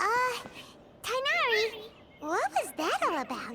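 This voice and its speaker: In a put-on character voice, the speaker sounds squeaky, with an extremely high pitch, very wide pitch swings and a moderate pace over loud background noise. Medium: video game. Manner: bubbly, energetic.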